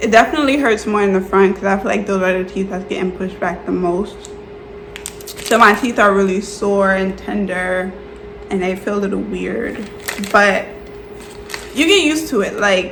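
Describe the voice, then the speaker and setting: A woman speaks at a moderate pace and medium pitch, with ordinary pitch variation and long, frequent pauses. Noticeable background noise and audible room echo fill the recording. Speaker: YouTuber and teacher. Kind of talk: casual vlog tutorial. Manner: casual, filler-heavy.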